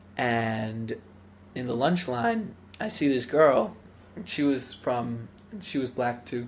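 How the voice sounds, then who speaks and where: In a room with audible echo, a man talks very slowly at a medium pitch, with ordinary pitch variation and long, frequent pauses. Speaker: interviewee. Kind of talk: personal interview.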